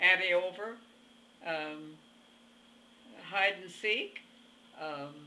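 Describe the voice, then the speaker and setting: Her tone is bright and sharp, her pitch medium with ordinary variation. The woman talks at a very slow pace with long, frequent pauses. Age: 80s+. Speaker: centenarian interviewee. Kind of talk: interview. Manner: halting.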